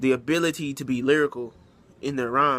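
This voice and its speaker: A man speaks with a fairly high pitch and fairly even intonation. His tone is bright and sharp. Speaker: rapper. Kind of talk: interview. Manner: fast.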